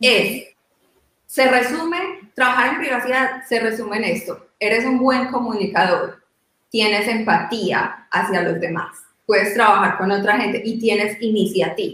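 Her tone bright and sharp, a woman speaks at a fairly slow pace with a fairly high pitch and lively intonation. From Colombia. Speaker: privacy lawyer. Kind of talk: panel discussion.

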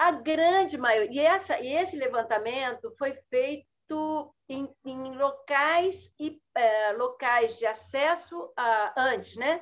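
The background is quiet as a woman speaks at a very slow pace. Her voice sits high in pitch. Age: 60s. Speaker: biologist and environmental educator. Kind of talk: interview. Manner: halting.

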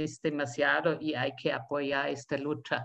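A woman speaks with a German accent and fairly even intonation. Music plays in the background. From Austria. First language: German (speaking Spanish). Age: 60s. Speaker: community radio activist, retiree. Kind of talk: interview.

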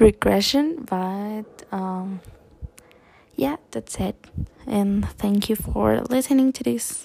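A woman speaks at a very slow pace, the sound dry and close with no echo.

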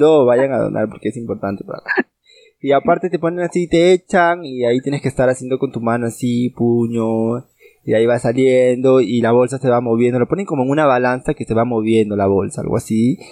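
This man talks at a fairly quick pace with a medium pitch and ordinary pitch variation. His tone is dark and mellow, and the sound is dry and close with no echo. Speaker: podcast co-host. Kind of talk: casual chat.

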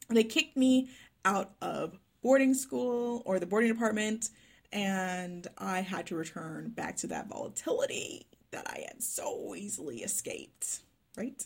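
A somewhat breathy woman speaks on a very clean recording with a silent background. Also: big swings in loudness. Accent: American. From Texas, Dallas. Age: 20s. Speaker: life coach. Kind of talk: personal storytelling monologue.

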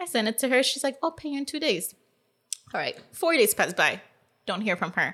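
A bright, sharp voice with a Californian accent and very wide pitch swings. The pace is fairly quick, broken by long, frequent pauses. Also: woman, high pitch for a woman. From Los Angeles, Silver Lake. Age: 30s. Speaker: podcast guest. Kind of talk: casual chat.

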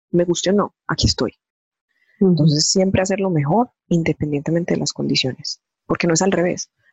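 Speaking at a very fast pace, a woman uses a Medellín accent. Her somewhat breathy voice is fairly low in pitch with ordinary pitch variation. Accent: Medellín (paisa). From Colombia, Medellín. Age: 30s. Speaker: corporate finance manager. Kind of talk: interview.

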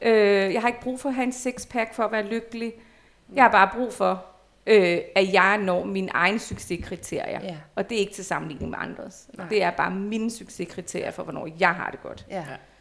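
In an unremarkable speaking voice, a woman talks at a moderate pace and medium pitch, with ordinary pitch variation. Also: big swings in loudness. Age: 40s. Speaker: former nude model. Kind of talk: casual chat. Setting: at the guest's home.

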